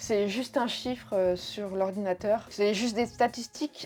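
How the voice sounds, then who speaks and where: Her pace is fairly slow. This woman's pitch shows ordinary variation. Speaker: sewing YouTuber. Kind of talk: casual FAQ vlog. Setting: home video recording with dog present. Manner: animated, playful.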